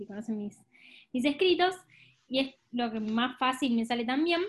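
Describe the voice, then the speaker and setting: With lively intonation, a woman with a high voice talks at a fairly slow pace. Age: 20s. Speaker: podcast co-host. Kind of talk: casual chat.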